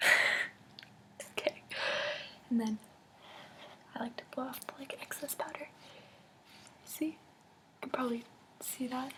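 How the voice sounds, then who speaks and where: Over noticeable background noise, a woman whispers at a moderate pace, leaving long, frequent pauses. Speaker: makeup vlogger. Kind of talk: casual talk to camera. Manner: soft-spoken, whispery.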